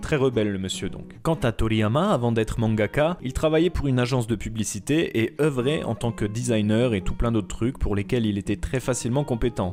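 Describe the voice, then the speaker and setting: A man talks at a fairly quick pace, with hardly any pauses. He has a medium pitch and a normal speaking voice. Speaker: manga and anime video essayist. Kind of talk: documentary narration.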